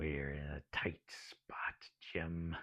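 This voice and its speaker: A man whispers. He is doing a put-on character voice. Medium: read story. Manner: gruff, bold.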